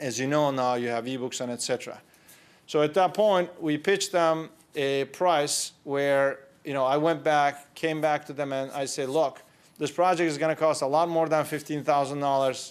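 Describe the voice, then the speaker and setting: With a Turkish accent, a man speaks at a moderate pace in a fairly high pitch with fairly even intonation. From Turkey (Istanbul). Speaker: entrepreneur. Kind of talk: conference talk.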